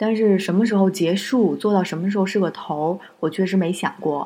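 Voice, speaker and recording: Moderate pace, dark and mellow tone, and fairly even intonation. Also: woman. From Northeast China. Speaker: music podcast host. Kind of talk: casual chat.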